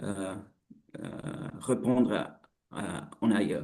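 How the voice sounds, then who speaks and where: Speaking with a non-native accent, a man has a dark, mellow tone. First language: not French (speaking French). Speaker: researcher. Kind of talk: webinar presentation. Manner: halting.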